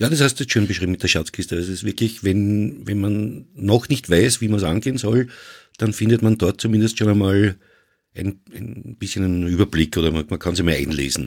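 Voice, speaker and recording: A man with a normal speaking voice talks at a moderate pace, his pitch fairly low with ordinary variation. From Vienna, Austria. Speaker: podcaster. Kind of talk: casual chat.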